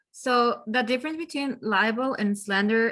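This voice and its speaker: A woman speaks at a fairly slow pace in a bright, sharp tone, her pitch moving in an ordinary way. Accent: non-native. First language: not English. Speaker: exam student. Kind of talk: class participation. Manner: halting.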